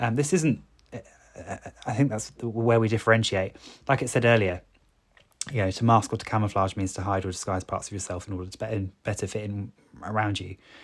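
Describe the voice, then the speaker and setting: A man's somewhat breathy, fairly low voice at a very fast pace, with big swings in loudness, in a very clean recording with a silent background. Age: 30s. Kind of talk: solo podcast monologue. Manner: halting, with filler words and repetitions.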